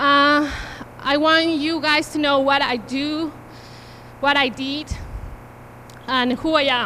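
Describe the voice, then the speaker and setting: In a strong Peruvian accent, a high-voiced woman projects her voice at a very slow pace, using long, frequent pauses and a monotone, flat intonation. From Peru, Cusco. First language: Spanish. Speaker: invited speaker, mother. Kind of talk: personal testimony. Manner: halting.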